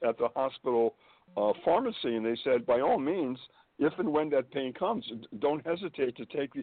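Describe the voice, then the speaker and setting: Speaking at a moderate pace, a man uses lively intonation in an unremarkable speaking voice that is fairly high in pitch. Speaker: guest. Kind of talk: casual chat.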